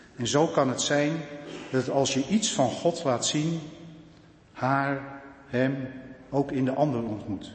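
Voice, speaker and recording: A man speaks at a very slow pace with long, frequent pauses, his pitch fairly high and varying in an ordinary way. Audible room echo surrounds his voice. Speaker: church council member. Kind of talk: farewell speech. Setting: church.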